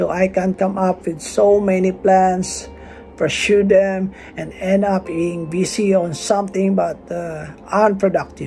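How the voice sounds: Over faint music in the background, a man talks at a fairly slow pace in a high pitch, his dark, mellow tone touched with vocal fry and his intonation fairly even.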